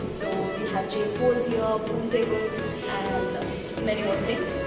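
Loud music plays in the background while a woman speaks with audible room echo. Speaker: food vlogger. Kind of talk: casual vlog intro. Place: cafe. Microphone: camera far.

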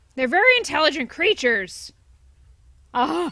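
In a put-on character voice, a woman speaks at a moderate pace with a high pitch and very wide pitch swings. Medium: solo performance. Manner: gruff, sarcastic.

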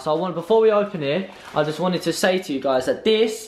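This man talks at a fairly quick pace in a high voice with ordinary pitch variation, over light background noise. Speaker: vlogger. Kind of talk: casual vlog chat. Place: home room. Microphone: phone near.

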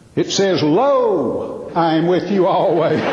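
The speaker talks with a Southern US accent. He is a man. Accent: Southern American. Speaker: professional speaker, humorist. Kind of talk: live stage humor / keynote comedy talk.

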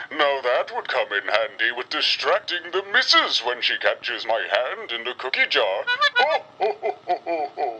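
In a put-on character voice, the speaker holds a middle pitch. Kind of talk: vintage holiday catalog commercial. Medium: read story. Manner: jolly, chuckling, warm.

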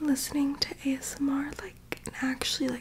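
A soft-spoken woman whispers at a very slow pace. Background noise is noticeable. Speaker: ASMR creator. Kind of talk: soft casual bedtime chat and storybook reading. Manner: soft drowsy ASMR whisper. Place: home room. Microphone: phone near.

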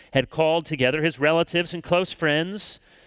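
Over a quiet background, a man talks at a fairly quick pace in a dry sound with no echo. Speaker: pastor. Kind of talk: scripture reading in sermon. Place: church. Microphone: headset.

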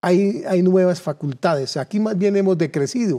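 A man's high-pitched voice with a dark, mellow tone, at a fairly slow pace against a quiet background. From Colombia, Cundinamarca (Suesca); Cundinamarca, Colombia. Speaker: political candidate; candidate. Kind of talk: political interview. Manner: halting, with repeated words. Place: studio. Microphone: lapel.

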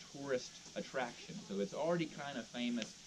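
Someone speaks at a fairly quick pace over noticeable background noise. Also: man. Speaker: park ranger tour guide. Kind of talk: guided tour talk. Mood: friendly, lightly humorous. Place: forest. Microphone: camera far.

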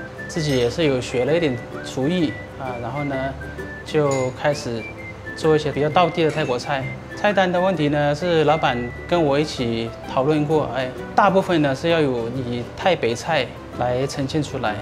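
There is clear music underneath. A man's speech comes at a medium tempo. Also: ordinary pitch variation. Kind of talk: interview answer. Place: cafe.

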